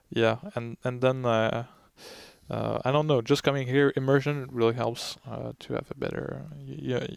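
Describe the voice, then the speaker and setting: A French Canadian accent at a moderate pace. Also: man. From Quebec City, Canada. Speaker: Dominican novice. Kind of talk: interview. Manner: halting.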